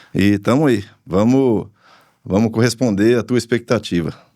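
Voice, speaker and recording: Dark, mellow tone at a moderate pace, fairly even intonation, very clean recording with a silent background. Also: man. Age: 60s. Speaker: farmer. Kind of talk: podcast interview. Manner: halting, with many repetitions.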